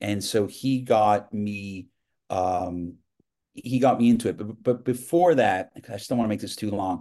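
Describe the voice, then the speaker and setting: Against a quiet background, a man with a fairly low pitch and a dark, mellow tone talks at a fairly slow pace with ordinary pitch variation. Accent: American. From New York, Westchester. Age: 50s. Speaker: TV producer. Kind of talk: casual interview chat. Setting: video call.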